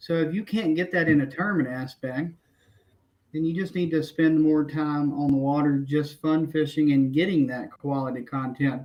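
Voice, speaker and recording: Fairly high in pitch, a man with a Southern accent speaks at a moderate pace with fairly even intonation. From Tennessee, small town. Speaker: kayak angler. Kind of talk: podcast interview. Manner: halting, many fillers and restarts.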